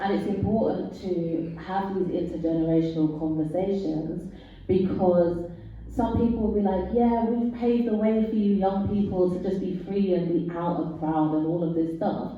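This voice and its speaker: At a moderate pace and with fairly even intonation, a woman talks amid noticeable background noise and audible room echo. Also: medium pitch for a woman. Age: 40s. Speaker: panelist. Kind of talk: panel discussion.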